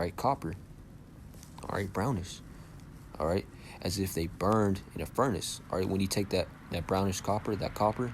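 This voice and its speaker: Pausing long and often, a man with a fairly low pitch speaks at a moderate pace with ordinary pitch variation. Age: young. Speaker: religious teacher. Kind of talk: bible lesson. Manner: halting.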